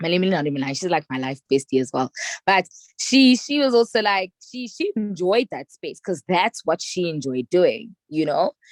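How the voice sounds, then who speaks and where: Loud and animated, a woman with a South African accent talks at a moderate pace in a medium pitch, her voice swinging very widely in pitch, with a dry, close sound and no echo. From South Africa, Soweto. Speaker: public relations strategist. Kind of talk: casual chat.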